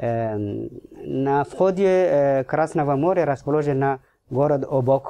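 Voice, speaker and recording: A man speaks with a non-native accent at a very slow pace. His pitch variation is ordinary. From Djibouti. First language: not Russian (speaking Russian). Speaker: ambassador; guest. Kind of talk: radio interview. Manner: halting. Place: studio. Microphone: studio mic.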